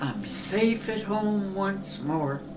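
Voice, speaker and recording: A female-sounding put-on character voice speaks at a medium pitch for a woman. Loud background noise fills the recording. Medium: comedy sketch.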